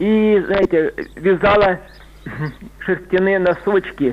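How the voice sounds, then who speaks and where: A man's fairly evenly intoned speech over noticeable background noise. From Rostov region, southern Russia. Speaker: caller. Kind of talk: phone-in storytelling. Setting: phone call.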